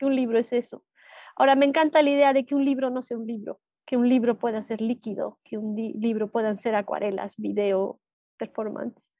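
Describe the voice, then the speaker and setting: At a fairly quick pace, a woman speaks in a normal speaking voice. Her pitch is fairly high and her intonation fairly even. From Bolivia, Cochabamba. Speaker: visual artist, watercolour painter. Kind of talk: interview.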